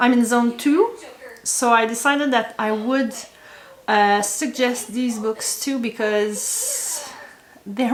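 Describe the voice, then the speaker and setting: With a Quebec accent, a woman speaks at a high pitch and a very slow pace with ordinary pitch variation, over noticeable background noise and audible room echo. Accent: French-Canadian accent in English. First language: French. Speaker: homesteading vlogger. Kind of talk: casual talk to camera. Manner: halting, many fillers and repeats.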